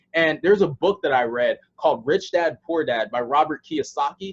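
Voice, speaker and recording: With an American accent and a normal speaking voice, a man talks at a moderate pace with a fairly high pitch and ordinary pitch variation, in a dry, close sound with no echo. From USA. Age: 20s. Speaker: online sales presenter. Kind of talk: sales pitch. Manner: casual, with many filler words.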